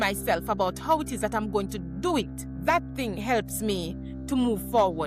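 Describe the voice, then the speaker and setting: Music plays behind the speaker. She is a woman talking at a fairly slow pace. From rural Jamaica. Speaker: educational leader and author. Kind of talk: interview answer.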